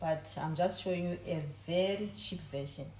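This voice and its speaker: Very slowly, a woman speaks at a fairly low pitch with ordinary pitch variation. Audible room echo and noticeable background noise surround her voice. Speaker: home baking video host. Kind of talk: cooking tutorial. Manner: trying to talk low. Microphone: no microphone, camera audio.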